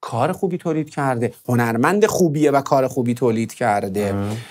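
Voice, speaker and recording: Very wide pitch swings mark this man's moderate-paced speech. The background is quiet. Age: 40s. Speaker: music producer; interview guest. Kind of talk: interview. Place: studio. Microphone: lapel.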